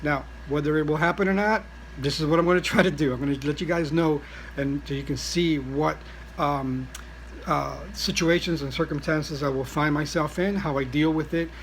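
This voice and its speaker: Noticeable background noise sits under the speech. The man speaking keeps a fairly quick pace. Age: 60s. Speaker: vlogger, traveller with cancer. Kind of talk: casual vlog monologue. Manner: halting, many fillers.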